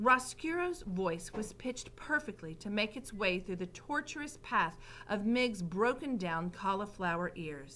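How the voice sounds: The intonation is lively. It is a natural reading voice.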